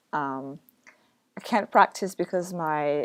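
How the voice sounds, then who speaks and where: At a fairly slow pace, a woman with a fairly low pitch speaks on a very clean recording with a silent background. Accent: French. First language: French. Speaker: book blogger. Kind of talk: casual vlog chat. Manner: hesitant, many fillers.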